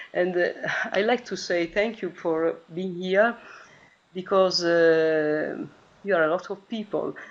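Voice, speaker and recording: A woman speaks with an Italian accent at a fairly low pitch. Her intonation stays fairly even. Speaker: math teacher. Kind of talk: online meeting speech. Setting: video call. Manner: halting.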